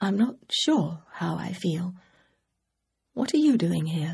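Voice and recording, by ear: In a put-on character voice, a female-sounding speaker talks fairly slowly at medium pitch with a croaky sound.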